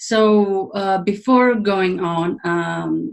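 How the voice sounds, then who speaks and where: With a Greek accent, a woman speaks at a medium pitch and with ordinary pitch variation. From Greece. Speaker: leadership coach and trainer. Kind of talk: webinar presentation. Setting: online webinar. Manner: halting, many fillers.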